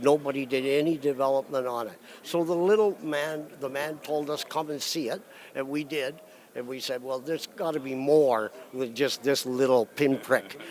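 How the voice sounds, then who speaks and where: A man with a fairly high voice talks at a moderate tempo, his pitch varying in an ordinary way. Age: 60s. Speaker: mining exploration executive. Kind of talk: interview. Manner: halting, many fillers.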